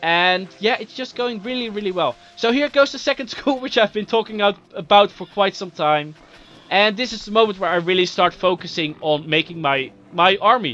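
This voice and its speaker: A man uses a raised, projected voice with a high pitch and lively intonation. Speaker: gaming video commentator. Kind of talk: gameplay commentary. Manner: fast.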